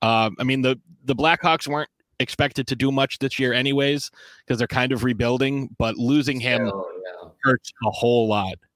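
A man talks fairly quickly in a normal speaking voice. His pitch is medium and his intonation fairly even. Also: dry, close sound with no echo. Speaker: sports talk show host. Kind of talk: casual banter, sports talk show. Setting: video recorded show.

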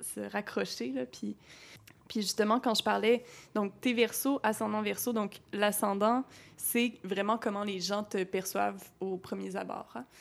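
A woman's medium-pitched voice, a plain, everyday voice, with ordinary pitch variation at a fairly slow pace. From Quebec City. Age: 20s. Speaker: podcast host, astrologer. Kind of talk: casual interview.

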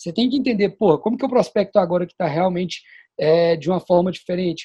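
The male voice has a dark, mellow tone. Its pitch moves in an ordinary way. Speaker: sales manager. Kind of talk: casual chat.

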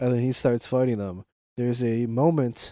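This man speaks at a moderate pace with a medium pitch and a dark, mellow tone. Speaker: co-host movie commentator. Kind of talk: casual movie discussion.

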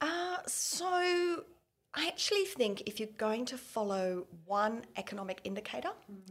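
A woman talks with very wide swings in pitch. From Hong Kong, expat childhood. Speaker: chief economist. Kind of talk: casual interview.

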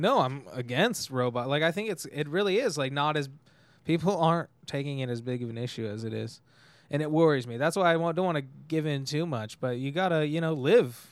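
Talking at a fairly quick pace, a man with an unremarkable speaking voice uses a fairly high pitch and lively intonation. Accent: American. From California, Tehachapi near Bakersfield. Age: 20s. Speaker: comedian and podcast host. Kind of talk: casual chat.

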